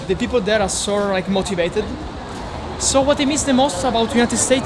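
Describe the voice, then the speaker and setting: A man with a strong Italian accent speaks with ordinary pitch variation, amid crowd noise and audible room echo. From Italy. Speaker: local friend. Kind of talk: casual interview. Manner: halting.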